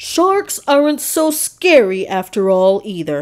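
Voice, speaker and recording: A woman puts on a character voice with a fairly high pitch. She speaks at a fairly slow pace with very wide pitch swings. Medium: read story. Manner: excitable.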